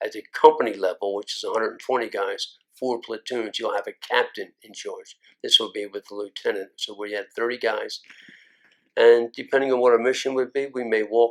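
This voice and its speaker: In a Philadelphia accent, the speech moves at a fairly quick pace with big swings in loudness. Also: man. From North Philadelphia. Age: 70s. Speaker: Vietnam War combat veteran. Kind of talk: oral history interview answer.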